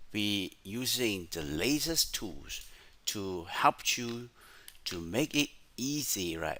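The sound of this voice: A man's fairly low voice, fairly bright in tone, with big pitch swings.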